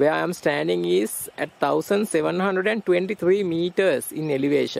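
A man speaks in a dry sound with no echo. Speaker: travel vlogger. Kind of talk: travel vlog narration. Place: open country.

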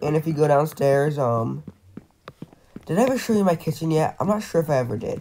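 The speech moves at a fairly quick pace yet breaks into long, frequent pauses. Noticeable background noise is present. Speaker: gaming YouTuber. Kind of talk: casual gaming video commentary. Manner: casual, chatty.

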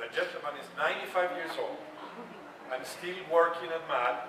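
A man at a moderate pace, with noticeable background noise and audible room echo. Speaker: panelist. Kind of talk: panel storytelling. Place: hall.

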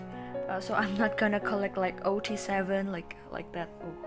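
A woman speaks with an Indonesian accent. Clear music plays in the background. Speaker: collector vlogger. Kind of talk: casual talk to camera. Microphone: phone near.

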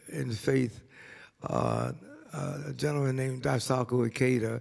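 The speaker is a man. Nothing much sounds behind him. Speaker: interviewee. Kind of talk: interview answer. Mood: humble, warm. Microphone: studio mic.

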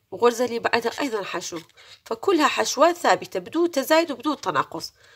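High in pitch, a woman's voice moves through very wide pitch swings. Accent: Iraqi. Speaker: crochet tutorial creator. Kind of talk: tutorial. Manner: raising her voice to be clear; slow, counting stitches step by step.

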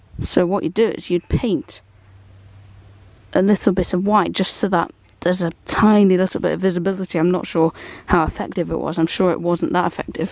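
Talking at a fairly quick pace, a woman uses vocal fry and fairly even intonation in a dry sound with no echo. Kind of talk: tutorial walk-around commentary. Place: garden.

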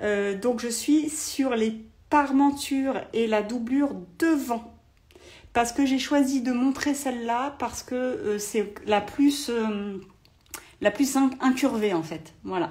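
Over a quiet background, a woman speaks at a very slow pace in a high voice. Her pitch variation is ordinary. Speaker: sewing instructor. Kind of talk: live sewing tutorial. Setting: livestream. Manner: hesitant, many fillers. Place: home room. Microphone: phone near.

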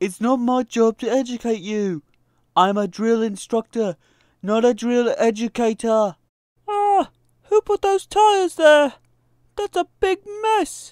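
Using a put-on character voice, the speaker talks at a fairly slow pace and a fairly high pitch, with very wide pitch swings and long, frequent pauses. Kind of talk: comedy skit. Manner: barking, commanding.

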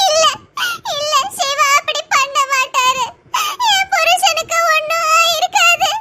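Using a put-on character voice, a woman speaks at a very slow pace and an extremely high pitch, with very wide pitch swings. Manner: distressed, insisting.

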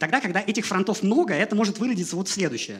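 The voice belongs to a man. His pitch moves in an ordinary way. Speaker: software developer, conference speaker; conference speaker. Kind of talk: conference talk. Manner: fast. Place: hall. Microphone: headset.

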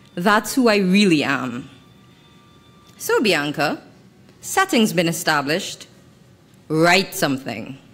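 Faint music plays in the background as a woman speaks at a very slow pace with long, frequent pauses, her fairly low voice carrying lively intonation at very even loudness. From Trinidad and Tobago. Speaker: writer. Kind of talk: reading aloud. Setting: stage with audience. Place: hall. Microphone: podium.

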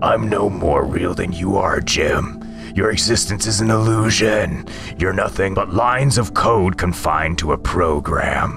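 A put-on character voice moves at a moderate pace over loud music in the background. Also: man, fairly low pitch for a man. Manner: calm, cryptic, mocking.

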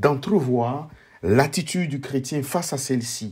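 Somewhat breathy and fairly high-pitched, a man talks at a fairly slow pace with ordinary pitch variation. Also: very clean recording, silent background. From Ivory Coast. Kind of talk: book presentation monologue. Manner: formal.

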